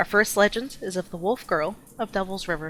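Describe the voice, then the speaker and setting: A woman talks at a fairly quick pace in an ordinary speaking voice. Her pitch is medium, with ordinary pitch variation. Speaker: storyteller. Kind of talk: scary campfire story narration.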